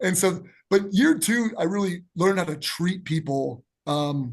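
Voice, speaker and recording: A man's high voice carries an American accent and ordinary pitch variation. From Lake Tahoe area, US West. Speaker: basketball coach. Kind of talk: casual chat. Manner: fast; animated.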